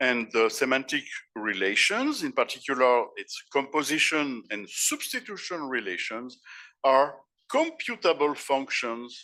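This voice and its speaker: With a French accent, a man talks at a fairly slow pace in a very clean recording with a silent background. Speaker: professor and philosopher. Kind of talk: conference keynote lecture. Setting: conference stage with audience. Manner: halting, with repeated words and self-corrections.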